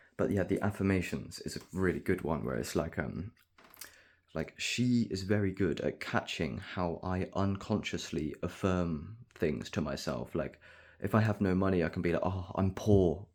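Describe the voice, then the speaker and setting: Soft-spoken, a man talks at a very deep, low pitch with vocal fry and ordinary pitch variation. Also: moderate pace. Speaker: vlogger. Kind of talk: casual monologue.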